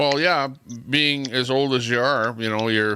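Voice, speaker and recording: A man with a Canadian accent at a moderate pace, ordinary pitch variation, and noticeable background noise. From Canada. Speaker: live stream host. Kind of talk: casual chat. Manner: loud.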